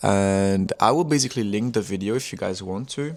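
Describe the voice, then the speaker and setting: A man with a French accent talks at a fairly quick pace in a fairly low voice. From France. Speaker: music producer and artist. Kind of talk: casual vlog monologue. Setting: talking to camera. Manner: halting.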